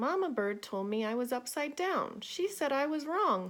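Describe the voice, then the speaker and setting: A woman's squeaky, high-pitched put-on character voice, raised and projected, at a moderate pace on a very clean recording with a silent background. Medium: read story.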